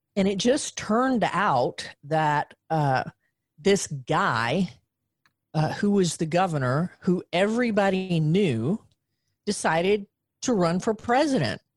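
In a Southern US accent, a woman of medium pitch talks at a very slow pace with very wide pitch swings, very even loudness and long, frequent pauses, the sound dry and close with no echo. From US South, Western Arkansas. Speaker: journaling coach. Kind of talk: casual chat.

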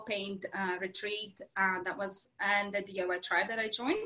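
A woman speaks with a Latvian accent. Her pace is fairly slow. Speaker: craft workshop business owner. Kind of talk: interview. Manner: halting, many fillers.

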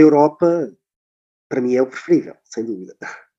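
Fairly high pitch from a man talking at a fairly quick pace over a quiet background. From Portugal. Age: 30s. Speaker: nurse and volunteer traveller. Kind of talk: casual interview. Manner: hesitant, many filler words.

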